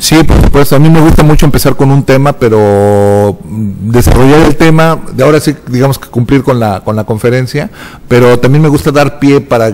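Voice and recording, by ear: A man talks at a fairly quick pace with few pauses. His tone is slightly mellow, with faint background noise behind him. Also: medium pitch for a man, ordinary pitch variation.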